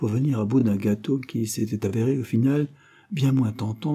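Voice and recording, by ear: The speaker reads aloud in a natural voice, and the pitch varies in an ordinary way.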